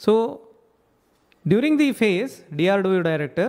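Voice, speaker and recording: A man speaks at a moderate pace, and the background around him is quiet. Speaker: ayurveda physician educator. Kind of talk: lecture. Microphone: studio mic.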